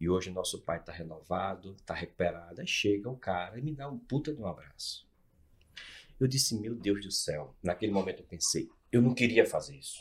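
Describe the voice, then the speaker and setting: His words come at a fairly quick pace. The man's volume rises and falls in big swings. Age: 50s. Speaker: NLP and hypnosis expert, executive mentor. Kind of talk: casual interview. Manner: animated.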